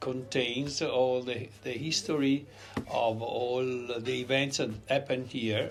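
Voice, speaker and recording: A man's medium-pitched voice with an Italian accent. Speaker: restaurant owner. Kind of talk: interview. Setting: in a restaurant. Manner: halting.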